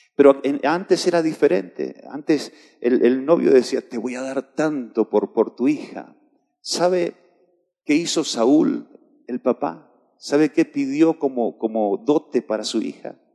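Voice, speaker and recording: Pitched fairly high, a man talks fairly slowly with normal rises and falls in pitch. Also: dry, close sound with no echo. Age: 50s. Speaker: pastor. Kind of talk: sermon. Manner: halting.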